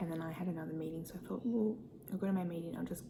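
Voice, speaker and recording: The speaker is soft-spoken and talks at a very fast pace. Noticeable background noise can be heard. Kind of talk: ASMR soft spoken eating video, casual talk to camera.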